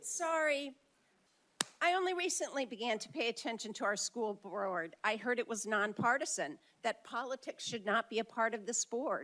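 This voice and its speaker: A loud woman with a bright, sharp tone speaks at a moderate pace and a fairly high pitch, her voice swinging very widely up and down, in a dry, close sound with no echo. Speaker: public commenter at school board meeting. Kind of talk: public comment speech. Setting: board meeting with large crowd, microphone.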